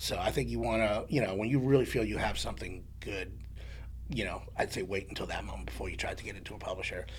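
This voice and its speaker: A man with a New York accent at a very fast pace, with audible room echo. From New York, the Bronx. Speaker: songwriter. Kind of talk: casual chat.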